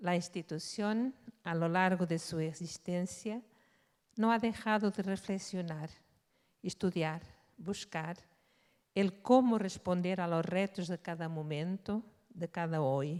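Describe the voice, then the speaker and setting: In a Portuguese accent, a woman speaks at a very slow pace with long, frequent pauses. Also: fairly low pitch for a woman, ordinary pitch variation. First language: Portuguese (speaking Spanish). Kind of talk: conference talk.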